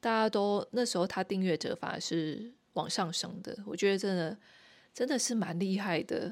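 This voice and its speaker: At a medium pitch and moderate pace, a woman speaks with ordinary pitch variation. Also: very clean recording, silent background. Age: 40s. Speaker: podcast host. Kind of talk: casual solo monologue. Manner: halting, many fillers.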